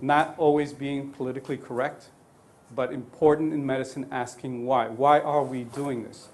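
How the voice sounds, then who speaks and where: Speaking at a medium pitch with monotone, flat intonation, a man is heard with audible room echo. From Colombia. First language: Spanish. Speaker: neonatologist lecturer. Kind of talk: lecture. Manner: halting.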